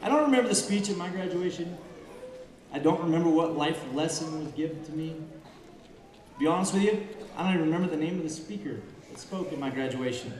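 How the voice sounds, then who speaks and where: With light background noise and audible room echo, a man talks at a very fast pace in a high pitch with ordinary pitch variation. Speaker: speaker. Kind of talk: commencement speech. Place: stage. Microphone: podium.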